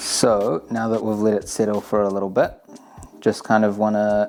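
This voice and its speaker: Relaxed in tone, a man speaks at a fairly low pitch over noticeable background noise. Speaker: channel owner's brother, home baker. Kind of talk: cooking tutorial. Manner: casual, relaxed.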